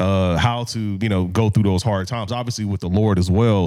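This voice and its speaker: An unremarkable speaking voice with an American accent moves at a fairly quick pace. Its intonation stays fairly even. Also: man. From Indianapolis, then Texas suburbs. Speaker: minister and professor. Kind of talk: casual chat.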